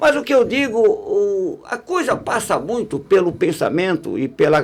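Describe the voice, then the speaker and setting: Very wide pitch swings run through a man's speech. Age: 60s. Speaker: radio broadcaster and academic. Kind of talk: podcast interview conversation. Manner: halting, many restarts.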